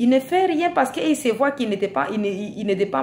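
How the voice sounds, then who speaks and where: Speaking at a very slow pace with a non-native accent, a woman sounds somewhat breathy as her pitch swings very widely. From Africa. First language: not French (speaking French). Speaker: vlogger. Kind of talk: video monologue. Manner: hesitant, repeating words.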